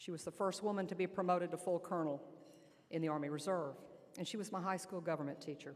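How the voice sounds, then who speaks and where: Talking at a very fast pace, a woman with an Alabama accent uses ordinary pitch variation. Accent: Southern US (Alabama). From US South, Lower Alabama. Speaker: army general. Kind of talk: speech. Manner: loud.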